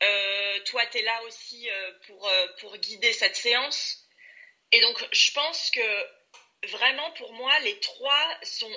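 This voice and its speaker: Her high-pitched voice moves with lively intonation as this woman talks at a very slow pace. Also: big swings in loudness. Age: 30s. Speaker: career changer, coaching client. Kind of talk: testimonial interview. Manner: hesitant, many filler sounds.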